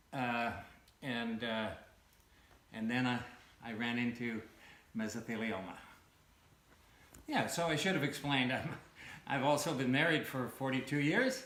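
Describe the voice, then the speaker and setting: With noticeable background noise and audible room echo, a man of medium pitch talks at a moderate pace with long, frequent pauses. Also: ordinary pitch variation. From Canada. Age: 60s. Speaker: cancer patient. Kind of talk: interview testimony. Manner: halting, many fillers.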